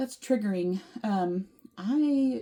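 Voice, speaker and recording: A soft-spoken woman mumbles in a somewhat breathy voice. Her tone is dark and mellow. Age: 30s. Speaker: vlogger. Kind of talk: casual chat. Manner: mumbling.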